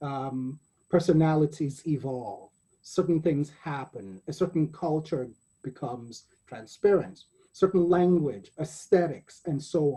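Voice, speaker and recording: The voice has a dark, mellow tone and sounds somewhat breathy. It moves at a fairly slow pace with ordinary pitch variation. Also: man, fairly high pitch for a man, big swings in loudness. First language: not English. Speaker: poet and anthology editor hosting panel. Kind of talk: panel discussion. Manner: halting, self-correcting.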